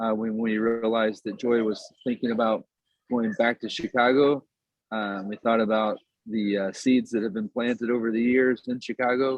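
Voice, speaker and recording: Here a man talks in an American accent at a medium pitch and moderate pace. His intonation is monotone and flat. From Appalachia, West Virginia. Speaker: nonprofit founder. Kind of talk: meeting presentation. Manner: halting.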